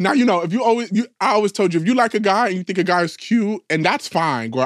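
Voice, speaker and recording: A man at a high pitch and very fast pace, animated in tone, with ordinary pitch variation and a dry, close sound with no echo. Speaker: podcast co-host. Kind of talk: casual banter between friends. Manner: fast talker; sassy, animated.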